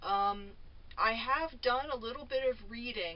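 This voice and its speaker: A woman's fairly high-pitched voice at a fairly slow pace. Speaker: vlogger. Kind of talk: casual monologue. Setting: at home in a trailer. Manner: loud; halting. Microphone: camera mic, no microphone.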